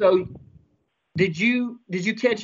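This man talks in a high pitch with ordinary pitch variation. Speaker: fishing show host. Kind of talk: casual chat.

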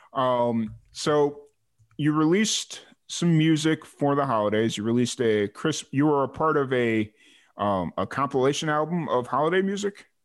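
A man with an American accent and a fairly high pitch speaks at a moderate pace with lively intonation and very even loudness against a quiet background. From south suburbs of Chicago, US. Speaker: podcast host. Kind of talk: casual interview chat.

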